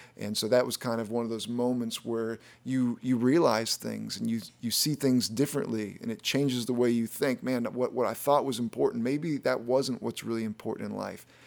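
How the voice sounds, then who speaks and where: A man speaks at a moderate pace with a medium pitch, hardly any pauses and fairly even intonation. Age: 40s. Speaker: pastor. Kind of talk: sermon-style podcast teaching. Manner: halting, with repetitions and fillers.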